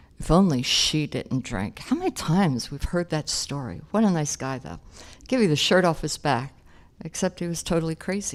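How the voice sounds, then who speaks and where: Animated and with an American accent, a woman with a very deep, low voice speaks as her pitch swings very widely. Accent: Philadelphia accent, shows when excited. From Philadelphia, South Philly. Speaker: AA speaker. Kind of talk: recovery testimony. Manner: conversational, animated.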